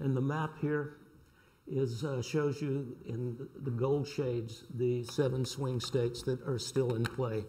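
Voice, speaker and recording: Here a man speaks slowly at a medium pitch, with a Southern US accent. His intonation is fairly even, and the room echo is audible. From US South, North Carolina. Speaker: sociology professor. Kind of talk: reading aloud a prepared talk. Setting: lecture panel with audience.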